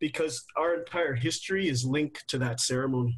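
In an unremarkable speaking voice, a man talks at a moderate pace with a fairly high pitch and fairly even intonation. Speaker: guest. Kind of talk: panel discussion. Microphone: video call.

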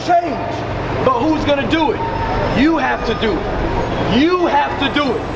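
A man's fairly slow speech over loud background noise. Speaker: bishop and street preacher. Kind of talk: street preaching. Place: street. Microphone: camera far.

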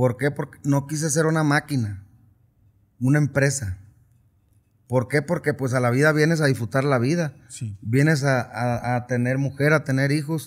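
Against a quiet background, a man speaks at a fairly high pitch. His pace is moderate and his intonation fairly even. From Sinaloa, Mexico. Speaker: regional Mexican singer; interviewee. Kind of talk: casual interview. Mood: relaxed, reflective. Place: studio. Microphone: studio mic.

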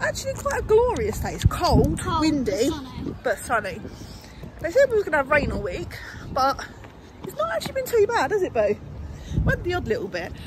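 The delivery moves at a fairly quick pace. The sound is dry with no echo, yet noticeable background noise comes through. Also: woman. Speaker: family vlogger. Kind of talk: casual vlog chat. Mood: mildly complaining, chatty. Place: street. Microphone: phone near.

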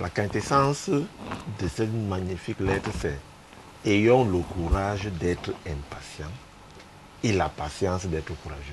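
Slowly, a man speaks in a low voice. Faint background noise sits behind him. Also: ordinary pitch variation.

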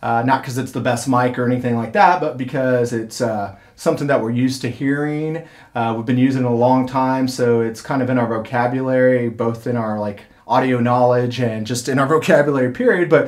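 Against a quiet background, a man speaks at a fairly quick pace with fairly even intonation. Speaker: audio engineering instructor. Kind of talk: tutorial. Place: studio. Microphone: camera far.

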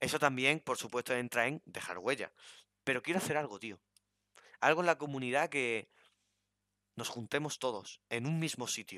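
The man talks at a moderate pace and medium pitch, with long, frequent pauses. His tone is bright and sharp, and the sound is dry and close with no echo. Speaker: gaming YouTuber. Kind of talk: casual chat.

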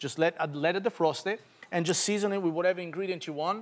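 A man speaks very fast in a high voice with an Italian accent. His intonation stays fairly even. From Italy. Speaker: chef. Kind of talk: cooking demonstration. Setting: stage with audience. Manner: light, joking. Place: studio. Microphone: lapel.

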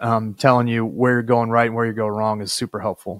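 A man speaks at a fairly quick pace in a monotone, flat delivery. The sound is dry, with no echo. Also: quiet background. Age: 40s. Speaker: podcast host and state senator; podcast host, state senator. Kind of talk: interview conversation with scripted intro. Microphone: studio mic.

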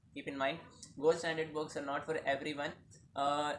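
A man talks at a fairly quick pace in a monotone, flat intonation. Light background noise sits underneath. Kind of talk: casual advice vlog. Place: home room. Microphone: phone near.

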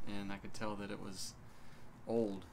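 Noticeable background noise sits behind a man's voice. His pitch is fairly low and his pace moderate. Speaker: small channel vlogger. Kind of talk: casual vlog chat. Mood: relaxed, wry storytelling. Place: home room. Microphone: phone near.

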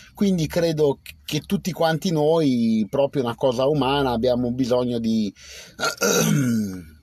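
At a fairly slow pace, a man talks at medium pitch in a dry sound with no echo. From Piedmont, Biella area; Piedmont, Italy. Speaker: livestreamer. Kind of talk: casual live stream chat. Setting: outdoors under a cherry tree. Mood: relaxed, reflective. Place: car. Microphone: phone near.

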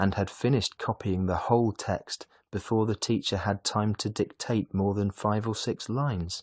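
With fairly even intonation, someone is reading aloud in a natural voice.

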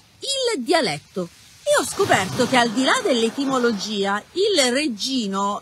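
A dry sound with no echo and noticeable background noise. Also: woman. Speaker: writer. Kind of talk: storytelling reading with casual asides. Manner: chatty, humorous. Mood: cheerful, joking. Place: beach. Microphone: phone near.

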